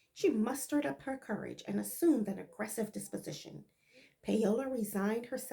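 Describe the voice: Here the words are simply read aloud in a plain way.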